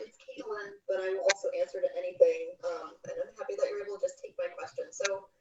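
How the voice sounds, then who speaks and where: A woman talks at a fairly quick pace with hardly any pauses and big swings in loudness. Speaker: audience member with a question. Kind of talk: question at a live webinar Q&A. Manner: soft-spoken. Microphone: sounds far away, muffled mic.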